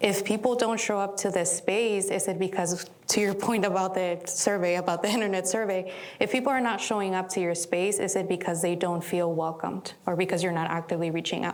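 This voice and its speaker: A woman with a non-native accent speaks at a fairly quick pace with hardly any pauses, medium pitch, fairly even intonation and very even loudness, amid noticeable background noise and audible room echo. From immigrant, outside US. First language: not English. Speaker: community leader. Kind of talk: panel discussion.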